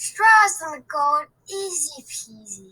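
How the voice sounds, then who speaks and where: A woman puts on a character voice with an extremely high pitch and a cheerful, playful tone. She speaks at a very slow pace, her pitch swinging very widely. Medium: read story.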